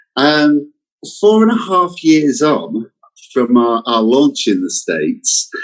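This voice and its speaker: Pitch swings very widely as a man with a fairly high voice speaks at a fairly slow pace. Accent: British. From England. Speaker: company representative. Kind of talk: interview. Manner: hesitant, repeats words.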